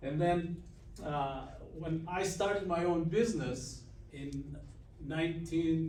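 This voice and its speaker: A man's fairly high voice with a Greek accent, amid audible room echo and noticeable background noise. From Greece. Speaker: business owner. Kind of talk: guest lecture. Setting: university classroom.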